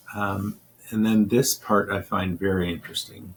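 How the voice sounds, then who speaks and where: Speaking at a fairly slow pace, a man with a fairly low pitch sounds somewhat breathy and keeps a monotone, flat intonation. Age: 60s. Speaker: diabetes health vlogger. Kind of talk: tutorial with reading aloud. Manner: casual, some halting.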